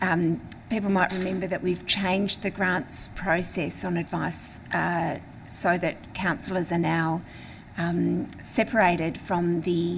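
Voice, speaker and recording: A woman speaks with an Australian accent at a fairly low pitch. Her delivery is fairly slow and monotone, with flat intonation. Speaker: local councillor. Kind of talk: council meeting motion reading; council debate speech. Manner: hesitant, many fillers.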